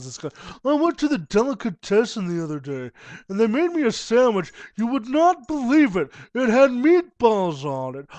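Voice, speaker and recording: In a put-on character voice, a man talks at a moderate pace at an extremely high pitch, with very wide pitch swings and big swings in loudness, recorded dry and close with no echo against a quiet background. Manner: affected, gushing.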